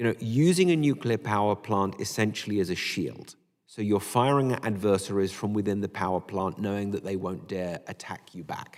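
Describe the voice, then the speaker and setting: Speaking at a moderate pace with hardly any pauses, a man uses a fairly low pitch. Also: ordinary pitch variation. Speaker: nuclear policy expert panelist. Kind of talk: panel briefing discussion. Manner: hesitant, many fillers.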